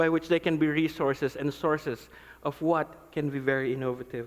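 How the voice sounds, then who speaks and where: A man speaks at a moderate pace with a Filipino accent. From Philippines. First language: non-English (Philippine language). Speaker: pastor. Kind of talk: conference talk. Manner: animated.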